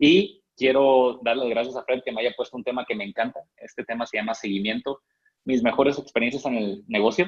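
A man speaks fairly quickly in an ordinary speaking voice at medium pitch, with ordinary pitch variation. The sound is dry and close, with no echo. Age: 20s. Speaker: network marketing distributor. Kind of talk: training talk.

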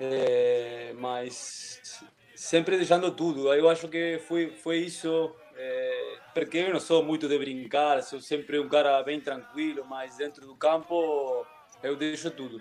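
A man with a Spanish accent speaks at a very slow pace in a fairly high voice. Noticeable background noise sits behind him. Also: ordinary pitch variation. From Uruguay, Montevideo. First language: Spanish (speaking Portuguese). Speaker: former footballer. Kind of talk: casual interview. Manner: halting.

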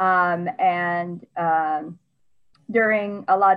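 Her voice sits at a medium pitch, and this woman has an American accent. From US. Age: 20s. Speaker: administrative assistant. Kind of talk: casual chat.

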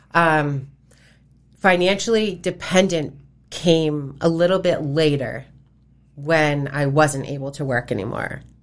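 Talking at a fairly slow pace with long, frequent pauses, a woman uses a very deep, low pitch and ordinary pitch variation. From Massachusetts (Fairhaven). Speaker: nonprofit founder, domestic violence survivor. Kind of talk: interview testimony.

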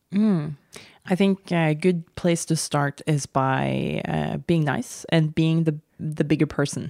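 A woman speaks with a Norwegian accent at a very slow pace, her pitch very deep and low and her tone dark and mellow. Intonation is fairly even, loudness very even, and the very clean recording has a silent background and a dry, close sound with no echo. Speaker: podcast co-host, surfer. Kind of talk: casual chat.

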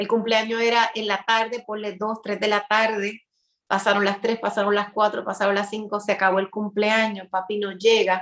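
Here a woman speaks at a medium pitch. Her intonation is monotone and flat. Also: moderate pace. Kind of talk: interview, inspirational talk.

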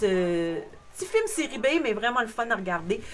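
A woman with a fairly high pitch and a Quebec accent talks at a moderate pace with lively intonation. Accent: Québécois French. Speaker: podcast co-host. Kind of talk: casual chat.

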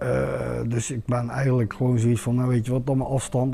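A man at a moderate pace. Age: 40s. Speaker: home seeker. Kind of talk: testimony in talk show. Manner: halting.

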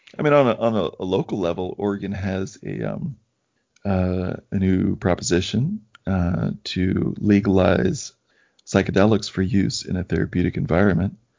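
A man speaks with a very deep, low voice, vocal fry and ordinary pitch variation. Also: moderate pace. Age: 40s. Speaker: podcast host, former physician colleague. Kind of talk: casual conversation interview.

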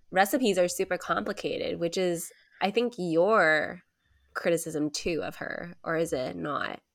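An animated tone with vocal fry, ordinary pitch variation and a fairly slow pace, on a very clean recording with a silent background. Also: woman. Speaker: podcast co-host. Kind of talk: casual chat. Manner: animated, laughs often.

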